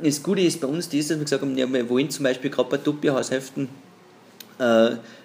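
Rattling along at a very fast pace, a man talks with ordinary pitch variation. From Austria, Pinzgau (Salzburg). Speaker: entrepreneur in the timber business. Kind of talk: interview. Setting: at the guest's company.

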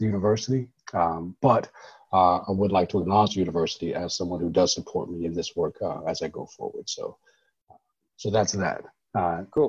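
Against a quiet background, a man talks at a fairly quick pace. His voice is somewhat breathy. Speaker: professor of social work. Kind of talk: interview conversation. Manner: animated.

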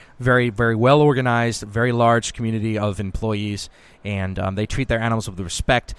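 With an American accent, a man speaks at a fairly low pitch and fairly even intonation on a very clean recording with a silent background. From Massachusetts, near Boston. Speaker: country singer-songwriter. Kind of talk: casual interview. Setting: on location at a trade show. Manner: halting, many fillers.

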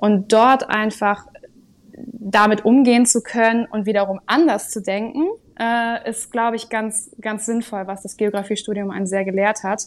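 At a moderate pace, a woman with a normal speaking voice talks at a fairly high pitch with fairly even intonation. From northern Germany, Sylt. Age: 20s. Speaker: social work coordinator. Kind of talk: interview.

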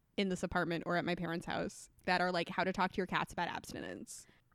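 Her voice is bright and sharp, with an animated tone and a very fast pace. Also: dry, close sound with no echo. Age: 20s. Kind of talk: casual chat.

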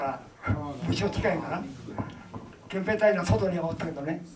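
A man talks at a moderate pace, with noticeable background noise and audible room echo in the recording. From Gifu, Ena. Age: 90s. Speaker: war veteran. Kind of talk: testimony. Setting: public event with audience.

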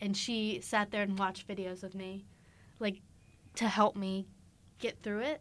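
A woman with an American accent speaks in an unremarkable speaking voice at a moderate pace with fairly even intonation. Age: young. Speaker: recent high school graduate. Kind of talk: casual chat.

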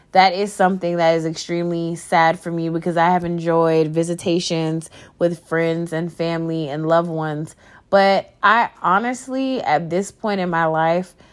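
A woman with an American accent speaks at a fairly slow pace and fairly low pitch, in a very clean recording with a silent background. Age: 20s. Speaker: podcaster and small business owner. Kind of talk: personal monologue. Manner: rambling.

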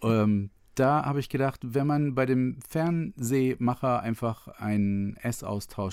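A man speaks in a dark, mellow tone. The pitch shifts in an ordinary way. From northern Germany, Otterndorf near Cuxhaven. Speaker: travel filmmaker. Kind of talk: casual interview.

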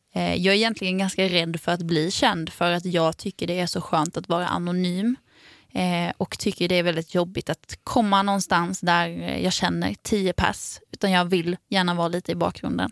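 In a dry, close recording with no echo, a woman talks at a fairly low pitch with fairly even intonation. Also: moderate pace. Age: 20s. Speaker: podcast co-host and musician. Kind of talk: casual chat.

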